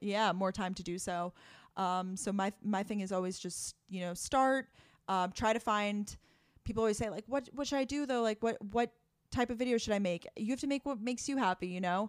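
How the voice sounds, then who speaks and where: A woman speaks at medium pitch and a fairly quick pace with an American accent, ordinary pitch variation and an unremarkable speaking voice. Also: dry, close sound with no echo. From Long Island, New York. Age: 20s. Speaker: YouTuber and podcaster. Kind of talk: casual interview chat.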